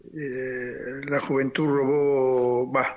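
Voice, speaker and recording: The pace here is very slow. A man delivers it at a fairly high pitch. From Argentina (Chilecito, La Rioja; born in Paraguay). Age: 70s. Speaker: torture survivor, former political prisoner. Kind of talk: testimony. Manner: halting.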